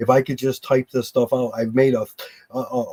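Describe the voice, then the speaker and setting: Dry and close with no echo, a man with an American accent speaks fairly quickly in a medium pitch with a dark, mellow tone. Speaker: construction worker. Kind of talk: casual chat. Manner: fast.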